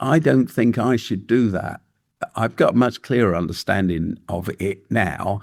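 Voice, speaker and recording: A man with an English accent and a medium pitch, at a moderate pace, on a very clean recording with a silent background. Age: 70s. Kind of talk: podcast interview. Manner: halting, with frequent fillers and restarts.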